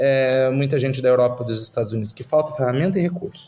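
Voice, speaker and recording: A man at a medium pitch and fairly quick pace, with ordinary pitch variation. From Brazil, Curitiba. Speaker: startup investor. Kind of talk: podcast interview. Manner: halting, many fillers and repeats.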